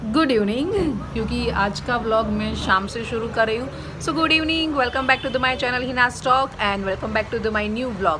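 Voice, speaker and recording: A woman speaks at a moderate pace with hardly any pauses and ordinary pitch variation, over noticeable background noise. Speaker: vlogger. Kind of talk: casual vlog chat. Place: home room. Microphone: phone near.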